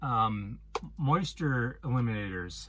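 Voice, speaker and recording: This man has a Wisconsin accent, a bright, sharp tone and lively intonation. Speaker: van life vlogger. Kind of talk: casual vlog talk. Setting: inside a van. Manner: hesitant, many ums.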